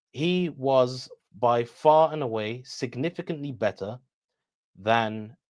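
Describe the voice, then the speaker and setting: A man with a British accent. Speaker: political analyst, debater. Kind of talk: interview on live stream. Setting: live stream.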